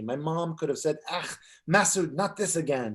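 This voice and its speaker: Here a man has an unremarkable speaking voice, fairly high in pitch with ordinary pitch variation. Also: quiet background. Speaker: author. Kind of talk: author reading aloud from his own memoir at a bookstore event.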